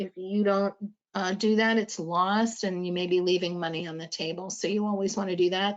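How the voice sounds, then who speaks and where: An ordinary speaking voice at a fairly quick pace, its intonation fairly even. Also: woman. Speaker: audiology practice management presenter. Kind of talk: lecture. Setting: webinar.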